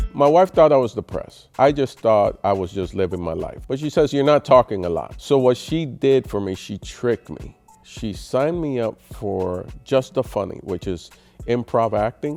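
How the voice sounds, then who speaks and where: Music plays in the background as a man speaks. His medium pitch carries lively intonation at a moderate pace. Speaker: stand-up comedian. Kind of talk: interview answer.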